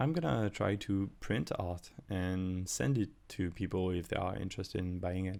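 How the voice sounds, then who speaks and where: In a very clean recording with a silent background, a man with a very deep, low voice and a non-native accent speaks with ordinary pitch variation. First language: not English. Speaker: artist and YouTuber. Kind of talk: casual voiceover commentary. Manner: halting, many fillers and restarts.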